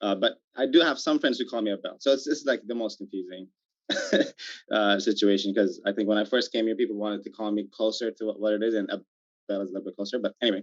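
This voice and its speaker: A man with an Ethiopian accent talks very fast at medium pitch, his intonation fairly even. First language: Amharic. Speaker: startup founder. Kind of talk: panel discussion. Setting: video call.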